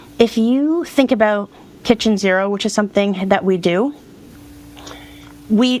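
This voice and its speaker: The speaker is a woman with a medium pitch and ordinary pitch variation. There is noticeable background noise. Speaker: decluttering and self-care coach. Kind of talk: podcast interview. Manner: fast; animated.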